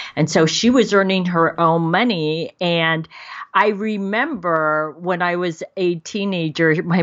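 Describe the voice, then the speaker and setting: With an unremarkable speaking voice, a woman talks fairly slowly in a fairly low pitch with ordinary pitch variation. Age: 50s. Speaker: dating and life coach. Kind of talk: casual interview.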